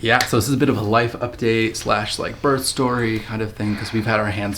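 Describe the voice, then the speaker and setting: A man talks quietly at a fairly quick pace with a fairly low pitch over noticeable background noise. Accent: American. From USA. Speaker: vlogger. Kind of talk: casual chat. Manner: hushed.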